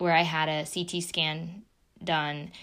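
Music plays in the background as a woman with an American accent talks at a fairly slow pace. Her fairly low voice is monotone and flat. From southeastern Ohio, near Marietta. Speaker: podcast co-host, fitness studio owner. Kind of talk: casual chat.

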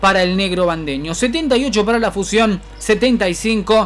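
An animated, energetic tone against noticeable background noise. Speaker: sports commentator and analyst. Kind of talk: live sports commentary with analysis. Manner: animated, energetic, conversational; fluent stat-rattling delivery.

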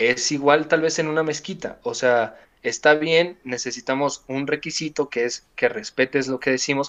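A man talks at a moderate pace with hardly any pauses and ordinary pitch variation, in an ordinary speaking voice. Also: fairly high pitch for a man. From Mexico. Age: 20s. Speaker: podcast guest. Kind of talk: casual chat.

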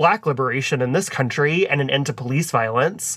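A man with a plain, everyday voice and an American accent, fairly high in pitch, with ordinary pitch variation. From Texas, US South. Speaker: podcast co-host. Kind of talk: casual chat.

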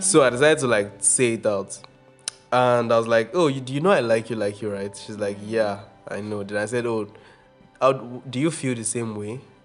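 With music in the background, a man of medium pitch talks with ordinary pitch variation and big swings in loudness. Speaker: podcast host, guest on own podcast. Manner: fast talker.

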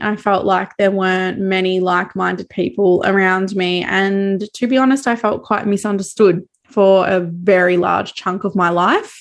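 A woman speaks at a fairly slow pace in an Australian accent. The background is quiet. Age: 20s. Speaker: podcast host, cacao seller and cycle coach. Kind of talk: solo monologue.

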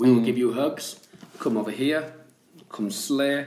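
A man talks at a fairly slow pace in a Yorkshire accent. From Yorkshire, England. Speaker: podcast co-host. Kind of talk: casual chat. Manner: animated.

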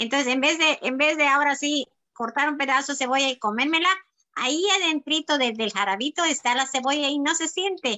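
A woman talks at a moderate pace in a high pitch. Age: 60s. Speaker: health adviser. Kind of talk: sales pitch. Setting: video call.

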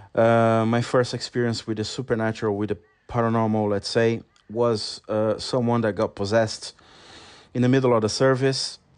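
The speech comes at a moderate pace with a Brazilian accent. Intonation is monotone and flat against a quiet background. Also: man, medium pitch for a man. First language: Portuguese. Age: 40s. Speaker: podcast host. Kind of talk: solo podcast monologue. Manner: halting.

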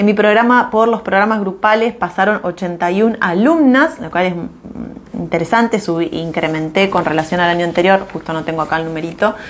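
Over noticeable background noise, a woman at a medium pitch speaks at a moderate pace with lively intonation. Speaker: business mentor. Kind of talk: live stream talk. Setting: live stream. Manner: hesitant, many fillers.

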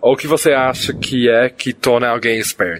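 A man's ordinary speaking voice at a medium pitch and moderate pace, with ordinary pitch variation. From foreign, not Brazilian. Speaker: podcast host. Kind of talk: casual interview chat. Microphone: poor recording quality early on.

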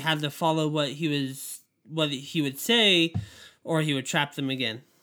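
Recorded very cleanly over a silent background, a man speaks in a bright, sharp tone at a fairly high pitch. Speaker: guest. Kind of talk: casual chat.

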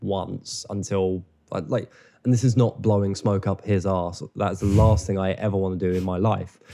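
With an English accent, a man speaks at a moderate pace and a fairly low pitch in a dark, mellow tone, his intonation monotone and flat, in a very clean recording with a silent background. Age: 20s. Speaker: filmmaker. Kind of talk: casual chat.

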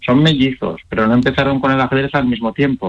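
A man with a fairly high pitch speaks in a plain, everyday voice. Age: 40s. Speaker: chess player and coach. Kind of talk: interview.

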